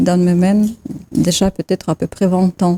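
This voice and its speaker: A woman's fairly low, dark, mellow voice in a flat monotone, dry and close with no echo. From Russia, Siberia. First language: Russian (speaking French). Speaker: photographer. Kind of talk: TV talk show interview. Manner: halting, searching for words.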